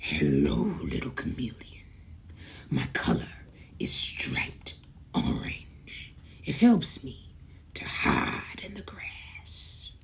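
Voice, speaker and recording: Whispering in a put-on character voice, the speaker goes at a very slow pace with long, frequent pauses. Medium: read story.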